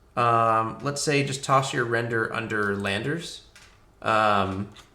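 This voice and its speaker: With audible room echo, a man of medium pitch speaks in a bright, sharp tone with fairly even intonation. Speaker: rocketry engineer and livestreamer. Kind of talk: live stream chat reading viewer questions. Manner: hesitant, many fillers.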